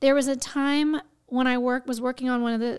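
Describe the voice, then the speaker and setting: Here a woman talks in an American accent with a high pitch. Her pace is moderate and her intonation fairly even. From Houston, Texas. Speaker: actress and voice actress. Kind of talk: casual interview chat.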